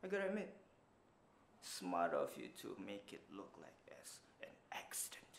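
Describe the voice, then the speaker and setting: A man puts on a raspy character voice at a moderate pace, with big swings in loudness and long, frequent pauses. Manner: smug, confident.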